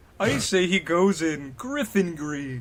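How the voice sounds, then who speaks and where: Put-on character voice from a man, pitched high and paced fairly slowly. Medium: read story.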